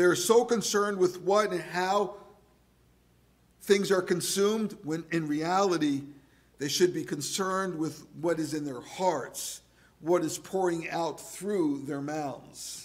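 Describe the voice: This man's voice sits at a fairly high pitch. He talks at a slow pace with ordinary pitch variation.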